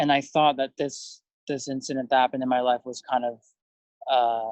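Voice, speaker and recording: A man with an American accent speaks at a medium pitch and a moderate pace. His intonation is monotone and flat, in a dry, close sound with no echo. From US, Russian-speaking immigrant home. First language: Russian. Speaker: film director. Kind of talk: interview. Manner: halting, many fillers.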